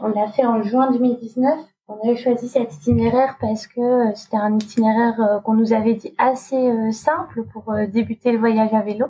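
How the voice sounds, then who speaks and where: Fairly even in intonation and moderate in pace, the speech carries noticeable background noise behind it. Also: woman, fairly high pitch for a woman. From Normandy, France. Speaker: refugee protection worker and bike traveller. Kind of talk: casual interview.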